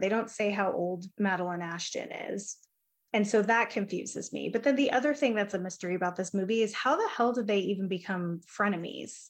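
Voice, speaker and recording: This woman has a plain, everyday voice, medium in pitch with ordinary pitch variation, and she talks at a fairly quick pace. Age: 30s. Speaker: podcast co-host. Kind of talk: casual chat. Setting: remote recording.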